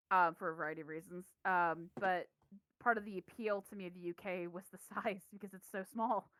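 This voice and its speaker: A woman with an unremarkable speaking voice and an American accent, medium pitch, fairly even intonation, fairly quick pace and big swings in loudness, in a dry, close sound with no echo. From US Midwest, Kansas City. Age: 30s. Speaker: games studio founder. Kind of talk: casual chat.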